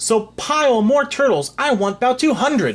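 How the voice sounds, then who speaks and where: A loud, put-on character voice is heard. It sits at a fairly high pitch. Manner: booming, commanding.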